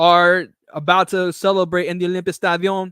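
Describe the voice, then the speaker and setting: A man with a high pitch is heard in a very clean recording with a silent background and a dry, close sound with no echo. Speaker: football watchalong streamer. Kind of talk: live commentary. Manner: stutter.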